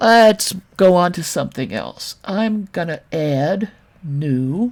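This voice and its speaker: Here a woman with an American accent talks at a very slow pace. Her fairly low voice swings very widely in pitch. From New York, Brooklyn. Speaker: 3D modeling tutor, former game artist. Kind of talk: software tutorial. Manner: casual, chatty.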